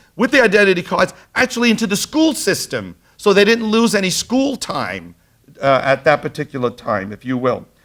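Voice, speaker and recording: In a very clean recording with a silent background, a man with a strong Brooklyn accent talks at a fairly quick pace in a high pitch. His tone is animated, and his pitch swings very widely. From Brooklyn, New York. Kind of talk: lecture. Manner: animated storytelling.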